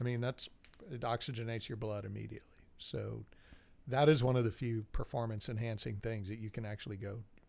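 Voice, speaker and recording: This man has an unremarkable speaking voice of medium pitch. He talks at a fairly quick pace. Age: 40s. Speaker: podcast co-host. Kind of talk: casual chat.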